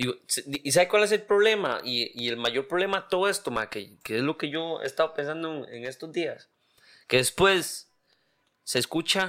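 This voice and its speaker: Bright, sharp tone and lively intonation mark this voice with a Costa Rican accent, moving at a moderate pace. The recording is very clean and the background silent. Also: man. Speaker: podcast co-host. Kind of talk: casual chat.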